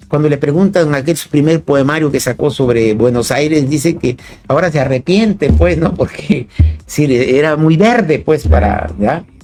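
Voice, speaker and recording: Music plays in the background as a man talks at a moderate pace. His pitch is fairly high, and his intonation is lively. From Chiapas, Mexico. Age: 60s. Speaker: philosopher and poet. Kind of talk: interview. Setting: radio studio, live broadcast. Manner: halting, many repetitions and fillers.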